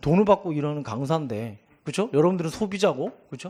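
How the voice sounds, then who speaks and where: The speaker is a man with a fairly high pitch. He talks at a fairly quick pace with lively intonation. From Gangwon Province, South Korea. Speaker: exam prep instructor. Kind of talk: lecture. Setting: seminar with live audience.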